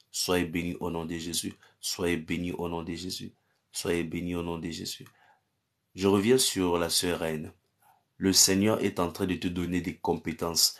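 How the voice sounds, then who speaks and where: A man speaks very deep and low at a fairly slow pace, with monotone, flat intonation and long, frequent pauses. The background is quiet. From Cameroon. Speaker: pastor. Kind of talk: live-stream prayer and chat with viewers. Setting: live stream on social media. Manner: repetitive incantatory declarations. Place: home room. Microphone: phone near.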